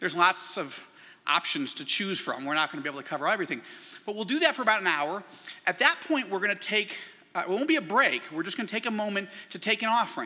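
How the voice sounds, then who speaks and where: Talking at a very fast pace, a man with a high pitch swings his pitch very widely. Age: 50s. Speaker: author and keynote speaker. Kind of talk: keynote speech. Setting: church event with audience.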